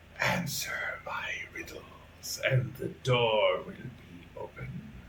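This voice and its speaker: Whispering in a put-on character voice, a man speaks at a very slow pace over light background noise. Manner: whispering, eerie.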